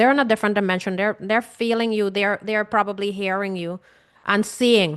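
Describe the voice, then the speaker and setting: A woman in a Caribbean accent speaks at a fairly quick pace against a quiet background. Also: medium pitch for a woman. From Guyana. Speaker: grief coach. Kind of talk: webinar talk. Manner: animated.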